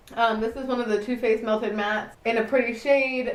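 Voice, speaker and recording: A woman speaks at a fairly quick pace amid audible room echo and noticeable background noise. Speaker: beauty youtuber. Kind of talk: casual haul video. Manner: fast; animated.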